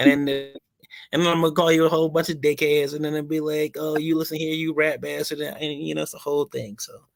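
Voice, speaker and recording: A man's fairly high voice at a very fast pace, in a monotone, flat intonation. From Philadelphia, moved away at twelve. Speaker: podcast host. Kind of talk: casual chat.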